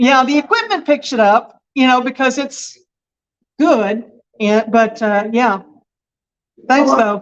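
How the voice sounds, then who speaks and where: With long, frequent pauses, a woman speaks at a very slow pace in a high pitch, her loudness very even and her pitch variation ordinary. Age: 60s. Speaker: local government meeting attendee. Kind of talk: casual chat.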